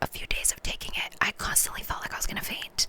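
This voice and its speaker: Someone whispers at a very fast pace over noticeable background noise. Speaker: ASMR content creator. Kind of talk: casual talk to camera, ASMR mukbang chit-chat. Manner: whispered, soft-spoken.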